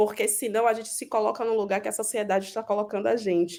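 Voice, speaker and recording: A woman with a Bahian accent talks at a fairly quick pace. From Brazil, Bahia (Salvador). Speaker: business executive and entrepreneur. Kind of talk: panel discussion. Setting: video call.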